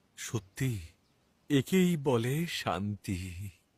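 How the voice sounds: In a cartoonish character voice, a man talks very slowly at a medium pitch with big pitch swings, a slightly mellow tone and a slightly husky edge, in a very clean recording with a silent background.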